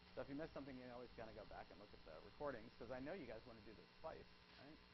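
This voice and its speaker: This man speaks at medium pitch with ordinary pitch variation and vocal fry. Room echo is audible. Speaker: psychology professor. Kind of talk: lecture. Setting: classroom with students. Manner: fast.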